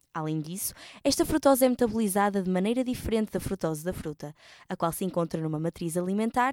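Here a woman talks at a fairly quick pace with lively intonation and a dark, mellow tone. The recording is very clean, with a silent background and a dry, close sound with no echo. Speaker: nutrition presenter. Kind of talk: scripted narration.

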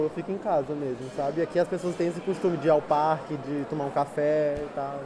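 Noticeable background noise sits behind this recording. A man talks at a fairly quick pace over it. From Brazil. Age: 20s. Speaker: exchange student. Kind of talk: interview.

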